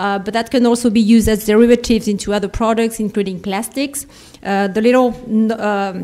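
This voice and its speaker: The speaker talks at a fairly quick pace in a monotone, flat delivery with a French accent. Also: woman, fairly high pitch for a woman. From France. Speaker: industrial company executive. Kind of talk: conference speech. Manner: halting, many fillers.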